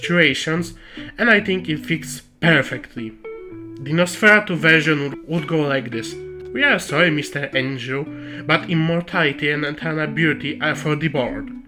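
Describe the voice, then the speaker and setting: Music plays in the background as someone with a non-native accent speaks at a moderate pace. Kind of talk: video lore essay. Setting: recorded on camera audio, slightly muffled. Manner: joking, irreverent.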